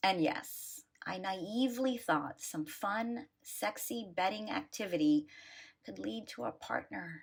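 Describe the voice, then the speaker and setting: A woman's voice with vocal fry, very wide pitch swings and a fairly slow pace. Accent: American. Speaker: blogger. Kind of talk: reading aloud.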